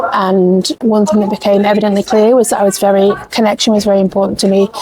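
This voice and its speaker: A woman with an English accent speaks at a very fast pace in a medium pitch, her intonation monotone and flat and her loudness very even, over noticeable background noise. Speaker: life coach and small business founder. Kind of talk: casual vlog talk to camera. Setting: pop-up shop in a department store. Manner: soft-spoken, near whisper.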